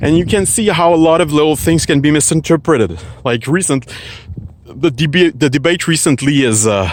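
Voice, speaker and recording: A man speaks with a Quebec accent at a fairly quick pace. His fairly high voice has lively intonation. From Quebec, Canada. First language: French. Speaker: philosophy vlogger. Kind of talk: casual talk to camera. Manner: halting, searching for words.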